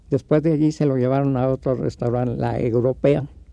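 A man with a dark, mellow tone and medium pitch talks at a moderate pace, his intonation fairly even. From Mexico City. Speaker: puppeteer. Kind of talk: interview.

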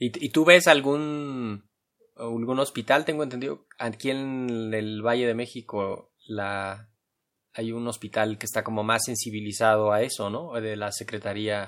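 A man speaks at a medium pitch and a fairly slow pace. His is an ordinary speaking voice. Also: ordinary pitch variation. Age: young. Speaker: radio host. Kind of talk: interview.

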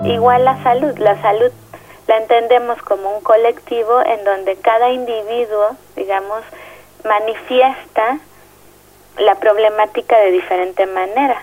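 With a Mexico City accent, a woman speaks at a fairly high pitch with fairly even intonation and long, frequent pauses over noticeable background noise. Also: fairly slow pace. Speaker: social psychologist. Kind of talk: interview. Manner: hesitant, with fillers.

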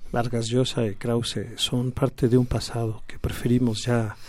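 In a medium-pitched, monotone voice with flat intonation, a man speaks at a fairly slow pace. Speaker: left-wing political activist. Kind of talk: radio interview. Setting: studio. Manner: hesitant, many fillers.

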